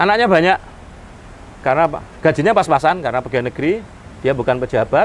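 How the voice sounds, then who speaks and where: A man with a fairly high voice talks very fast, with lively intonation and very even loudness. He takes long, frequent pauses. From Indonesia, Surabaya (East Java). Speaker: motivational speaker and Islamic teacher. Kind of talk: interview, life story.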